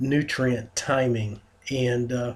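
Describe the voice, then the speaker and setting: A man speaks in a somewhat breathy voice. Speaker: fitness radio show host. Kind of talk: radio talk show monologue. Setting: studio. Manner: halting, many fillers.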